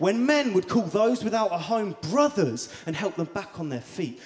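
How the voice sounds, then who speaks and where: A man speaking at a fairly slow pace, his pitch swinging very widely, with noticeable background noise. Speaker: spoken word poet. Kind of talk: slam poetry performance. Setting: live event.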